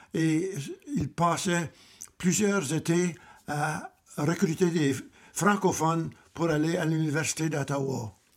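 Pausing long and often, a man speaks very slowly with fairly high pitch and fairly even intonation. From southwestern Ontario, near Windsor. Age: 90s. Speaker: grandfather, retired civil servant. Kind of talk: family interview. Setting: family cottage. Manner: halting, repeats words.

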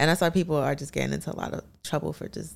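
The speaker is a woman. She talks in a New York accent. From Brooklyn, New York (Canarsie). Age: young. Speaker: musician. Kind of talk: casual chat.

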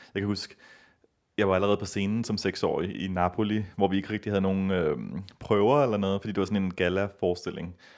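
A man with an unremarkable speaking voice and fairly low pitch. He talks at a fairly quick pace with fairly even intonation. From Copenhagen, Denmark. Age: 30s. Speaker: ballet dancer and festival organiser. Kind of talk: interview.

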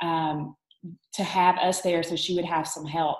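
A woman with a Southern US accent, fairly low in pitch, at a moderate pace. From Alabama, US South. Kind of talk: online group talk, faith testimony.

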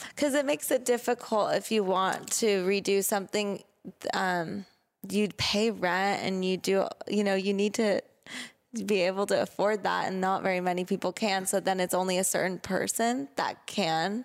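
A woman with an American accent and an ordinary speaking voice, medium in pitch, at a moderate pace, with fairly even intonation, very even loudness and a very clean recording with a silent background. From Laguna Beach, California. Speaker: podcast host. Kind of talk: interview.

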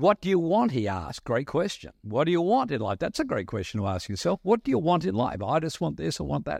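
Talking very fast with hardly any pauses, a man uses a fairly high pitch, very wide pitch swings and vocal fry, recorded with a dry, close sound and no echo. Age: 60s. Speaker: visiting pastor. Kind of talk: sermon. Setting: church.

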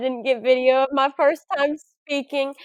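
At a high pitch and moderate pace, a woman with a Southern US accent speaks in an animated tone, the sound dry and close with no echo. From Arkansas. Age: 20s. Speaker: college student and speaker. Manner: animated, excitable.

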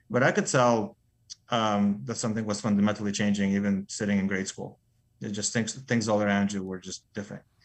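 This man has an ordinary speaking voice and a fairly low pitch. He talks at a fairly quick pace with fairly even intonation. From Soviet Union, moved to US at 11. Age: 40s. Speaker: mining company CEO. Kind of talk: interview.

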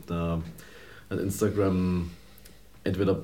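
With audible room echo, a man with a Saxon accent speaks at a very deep, low pitch, his tone dark and mellow and somewhat breathy. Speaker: podcast co-host. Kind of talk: casual chat.

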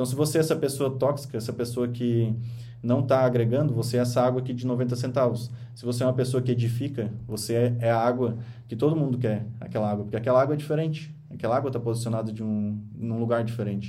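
Speaking at a very fast pace, a man with a medium pitch has a dark, mellow tone, somewhat breathy, with audible room echo. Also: fairly even intonation. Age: 20s. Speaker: podcast host and author. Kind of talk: motivational monologue on a podcast livestream. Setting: radio studio, streamed live.

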